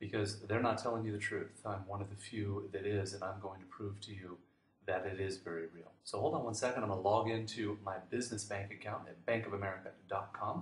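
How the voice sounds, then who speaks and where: This somewhat breathy man talks at a fairly quick pace with a fairly low pitch and fairly even intonation. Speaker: online business marketer. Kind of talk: sales pitch. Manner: fast.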